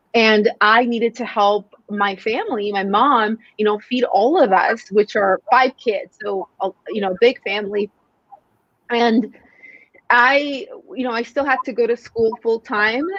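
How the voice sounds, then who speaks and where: A woman's fairly high voice with a Spanish accent, fairly slow with ordinary pitch variation, in a dry, close sound with no echo. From Mexico. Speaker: sales coach. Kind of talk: podcast interview.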